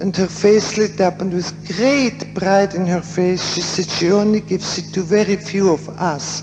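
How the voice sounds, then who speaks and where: Over music in the background, a woman speaks at a fairly slow pace with hardly any pauses. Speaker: psychiatrist and author on death and dying. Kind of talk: conference lecture. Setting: theater, poor quality recording. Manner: quiet.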